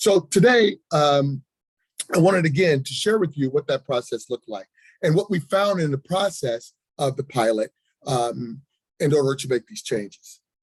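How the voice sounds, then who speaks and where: A man speaks at a fairly high pitch in a somewhat breathy voice. The sound is dry and close, with no echo. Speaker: health department official. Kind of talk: presentation at a public listening session. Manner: fast.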